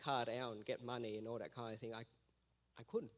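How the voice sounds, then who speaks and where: An Australian-accented male voice. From Vietnam. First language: Vietnamese. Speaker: missionary. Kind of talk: testimony. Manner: halting.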